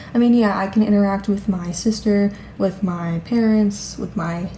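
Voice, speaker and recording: A woman's medium-pitched, monotone voice with flat intonation, at a moderate pace over noticeable background noise. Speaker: vlogger. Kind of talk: casual vlog monologue. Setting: at home.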